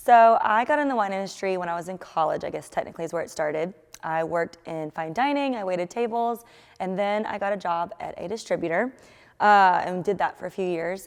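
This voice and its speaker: An energetic woman with a Georgia accent, medium pitch, ordinary pitch variation and a fairly quick pace, on a very clean recording with a silent background. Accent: Southern American (Georgia). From Marietta, Georgia. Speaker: wine market manager. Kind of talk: interview answer. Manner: energetic, casual.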